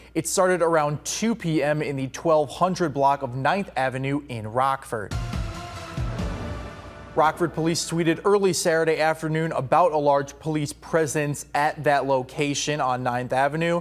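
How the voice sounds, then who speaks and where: Music plays behind a man with a fairly high pitch. He talks at a moderate pace with ordinary pitch variation. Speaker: news anchor. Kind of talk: local TV news anchor delivery.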